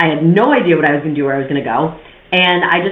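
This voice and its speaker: A woman with a New York accent talks very fast at a very deep, low pitch with ordinary pitch variation. Room echo is audible and background noise is noticeable. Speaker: podcast host, real estate investor. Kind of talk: monologue podcast, personal story. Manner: casual, conversational.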